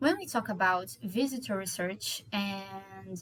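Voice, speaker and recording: With a Portuguese accent, a woman speaks at medium pitch in a somewhat breathy voice. Her intonation is lively. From Brazil (Rio de Janeiro). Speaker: doctoral researcher. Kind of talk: conference presentation. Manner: hesitant, with fillers.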